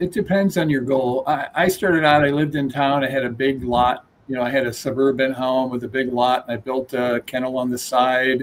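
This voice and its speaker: Amid noticeable background noise, a man of medium pitch talks at a fairly quick pace with hardly any pauses. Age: 60s. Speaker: dog breeder. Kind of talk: casual chat.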